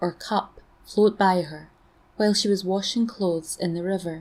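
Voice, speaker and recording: Speaking at a moderate pace, a woman has a medium pitch and a dark, mellow tone. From Scotland. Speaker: storyteller. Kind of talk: folklore story reading.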